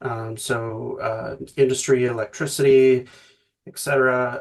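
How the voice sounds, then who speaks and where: A man with a somewhat breathy voice speaks at a fairly slow pace with fairly even intonation. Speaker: ecologist, climate researcher. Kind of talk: conference talk. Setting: video call from home office. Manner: halting, many fillers.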